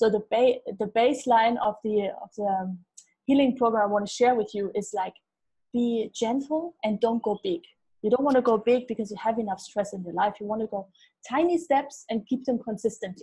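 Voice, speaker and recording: Against a quiet background, a woman speaks at a moderate pace in a dark, mellow and somewhat breathy tone. Her pitch varies in an ordinary way. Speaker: gut health expert. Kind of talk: casual interview. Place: home room. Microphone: earbuds.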